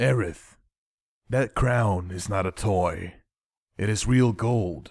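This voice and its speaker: Recorded very cleanly against a silent background, a man puts on a raspy character voice with a fairly low pitch, ordinary pitch variation and a very slow pace. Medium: audio drama.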